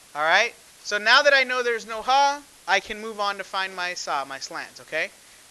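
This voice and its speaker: Speaking at a fairly quick pace, a man uses a raised, projected voice with a high pitch. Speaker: math teacher. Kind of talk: classroom lecture.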